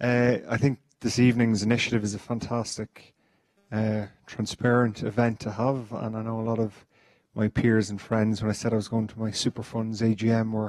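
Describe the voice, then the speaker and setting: This man has a medium-pitched voice and an Irish accent. His intonation stays monotone and flat at a moderate pace. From Ireland. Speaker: fund member asking a question. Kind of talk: audience question at meeting.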